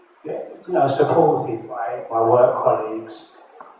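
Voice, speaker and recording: A man at a very slow pace, with noticeable background noise and audible room echo. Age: 50s. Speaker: sickle cell patient. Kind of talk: panel discussion.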